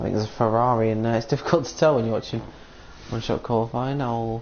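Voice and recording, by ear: A man talks with a slightly mellow tone and some vocal fry.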